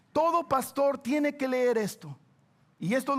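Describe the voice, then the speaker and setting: A man talks at a moderate pace. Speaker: pastor. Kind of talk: sermon. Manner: animated.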